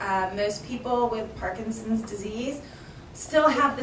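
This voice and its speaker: There is noticeable noise behind a woman's voice. The room adds audible echo. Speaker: physical therapist. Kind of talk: presentation to patient group. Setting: live event with audience.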